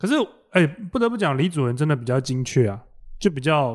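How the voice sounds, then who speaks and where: The sound is dry and close, with no echo. A man speaks in a fairly high pitch with lively intonation. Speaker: comedian. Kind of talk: casual chat. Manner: animated.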